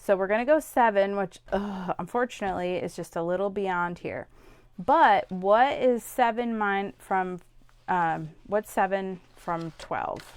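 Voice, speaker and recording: A woman at a medium pitch speaks fairly slowly in an unremarkable speaking voice, with ordinary pitch variation. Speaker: scrapbooking product demonstrator. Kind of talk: craft tutorial demo.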